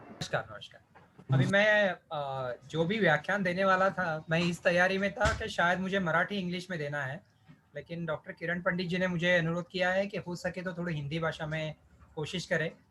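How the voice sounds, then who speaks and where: A man with a Marathi accent speaks at a moderate pace in a high pitch. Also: fairly even intonation. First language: Marathi (speaking Hindi). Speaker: ayurvedic physician and lecturer. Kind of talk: lecture.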